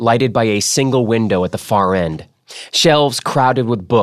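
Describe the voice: Ordinary rises and falls in pitch during plain reading aloud, with a quiet background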